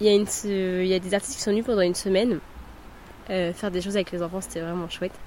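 A woman talks at a very fast pace over noticeable background noise. Her medium pitch follows fairly even intonation. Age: 20s. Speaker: early childhood educator. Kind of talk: testimony.

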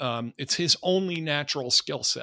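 At a fairly slow pace, a man's bright, sharp voice swings very widely in pitch, recorded dry and close with no echo in a very clean recording with a silent background. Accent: American. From United States. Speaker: professor of national security affairs, author. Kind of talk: casual chat.

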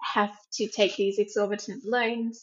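A woman's fairly high-pitched voice with an Australian accent, at a moderate pace. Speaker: researcher. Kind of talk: interview.

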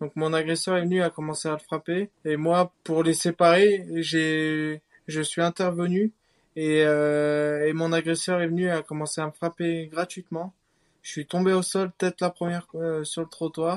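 A man speaks at a high pitch and a fairly slow pace. His intonation is monotone and flat. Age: 20s. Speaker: assault survivor. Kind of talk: personal testimony.

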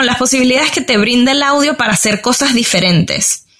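A woman talks high in her range, her pitch varying in an ordinary way. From Venezuela, Valencia. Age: 30s. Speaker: podcast reviewer and digital marketer. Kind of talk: interview conversation.

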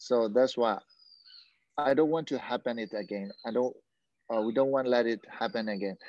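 A man with a Burmese accent and medium pitch speaks at a moderate pace with ordinary pitch variation and long, frequent pauses, in a dry, close sound with no echo and a quiet background. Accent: Burmese accent, limited English. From Myanmar, Yangon. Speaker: mixed martial arts fighter. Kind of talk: interview. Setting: video call. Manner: halting.

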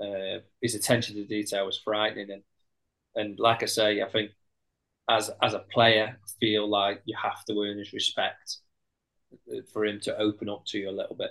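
In a Potteries accent, a man speaks at a moderate pace with fairly low pitch, a bright, sharp tone, monotone, flat intonation, big swings in loudness, and long, frequent pauses. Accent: Potteries (Stoke) English. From Stoke-on-Trent, English Midlands. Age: 30s. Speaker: footballer. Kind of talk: casual chat.

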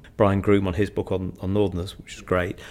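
Vocal fry runs through this voice, which speaks in a Mancunian accent. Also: man. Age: 50s. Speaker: economist. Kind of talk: in-depth interview. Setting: office.

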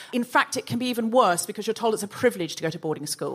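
A woman talks very fast at a medium pitch, with vocal fry and very wide pitch swings. The recording is very clean, with a silent background. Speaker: comedy podcast host. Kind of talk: live comedy podcast with panel. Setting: stage with audience. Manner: animated.

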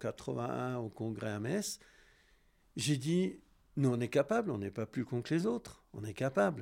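A man's medium-pitched voice carries lively intonation while he speaks very slowly. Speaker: former ski coach and piste chief. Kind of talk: interview testimony. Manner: halting.

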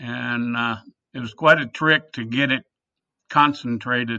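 Against a quiet background, a man speaks in a bright, sharp tone with fairly even intonation. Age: 70s. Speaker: distillery founder and winemaker. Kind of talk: casual interview.

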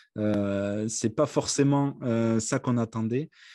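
Very slow pace, dark, mellow tone, and a dry, close sound with no echo over a quiet background. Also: man. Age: 30s. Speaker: company CEO. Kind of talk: interview. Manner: halting, many hesitations.

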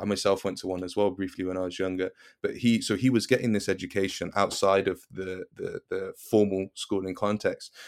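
A man with a British accent speaks quickly with hardly any pauses, in a fairly low, monotone, flat voice, on a very clean recording with a silent background. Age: 20s. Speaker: educator. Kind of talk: interview.

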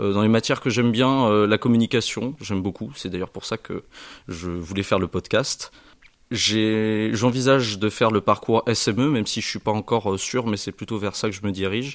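In a plain, everyday voice, a man with a fairly low pitch speaks at a moderate pace with fairly even intonation, the sound dry and close with no echo. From western France, Charente-Maritime (Saintes). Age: young. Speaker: business school student. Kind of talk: self-introduction.

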